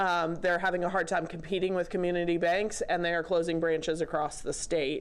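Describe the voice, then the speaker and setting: Audible room echo surrounds a woman's fairly low voice in a monotone, flat intonation. She speaks at a fairly quick pace with hardly any pauses and very even loudness. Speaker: state banking regulator, audience questioner. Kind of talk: conference Q&A comment. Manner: hesitant, many fillers.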